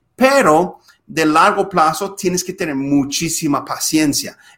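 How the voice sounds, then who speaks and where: Lively intonation and a bright, sharp tone in an English accent, at a very slow pace. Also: man. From US Midwest, Minnesota. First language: English (speaking Spanish). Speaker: podcast host, lawyer. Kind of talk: casual interview. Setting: video call.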